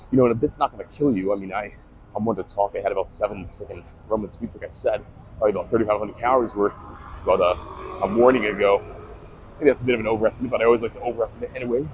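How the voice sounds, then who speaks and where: Talking very fast amid noticeable background noise, a man's voice shows big swings in loudness. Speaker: fitness content creator. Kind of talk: casual vlog monologue while walking. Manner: slurring speech; casual, filler-heavy.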